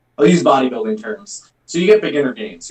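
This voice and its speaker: Very wide pitch swings mark this man's speech. He talks at a fairly quick pace. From Queens, New York; Puerto Rican family. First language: not English. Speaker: cosplayer and performer. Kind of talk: casual chat. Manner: halting, many fillers.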